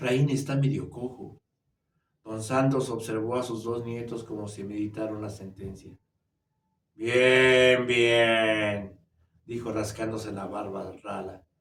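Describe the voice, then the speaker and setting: Very slowly, a man speaks at a medium pitch with monotone, flat intonation. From Mexico City, Mexico. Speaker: storyteller. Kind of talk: reading aloud. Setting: virtual writers' fair.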